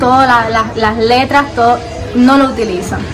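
A woman speaks in a high voice with an eastern Cuban accent. Noticeable background noise runs underneath. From Bayamo, eastern Cuba. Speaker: street interview guest. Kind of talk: street interview answer. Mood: relaxed, friendly, smiling.

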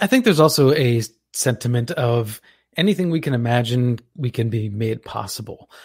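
A man speaks at medium pitch in a somewhat breathy voice. His pace is moderate, and his pitch varies in an ordinary way. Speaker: radio show host. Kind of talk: talk radio hosting. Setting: radio studio.

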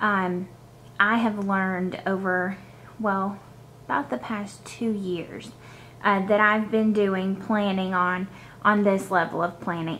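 Over light background noise, a woman speaks very slowly in a bright, sharp tone with monotone, flat intonation and long, frequent pauses. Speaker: planner hobby vlogger. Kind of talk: casual vlog chat.

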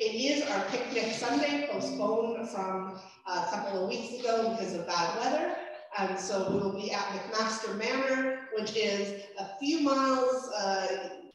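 A woman speaks at a fairly slow pace with ordinary pitch variation. Strong room echo surrounds her voice. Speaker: minister. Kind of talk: church announcements. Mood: warm, cheerful. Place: church.

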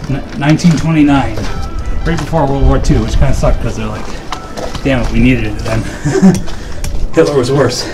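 Music playing behind a man's fairly quick delivery. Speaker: urban explorer host. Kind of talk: casual vlog chat. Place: open country. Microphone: phone near.

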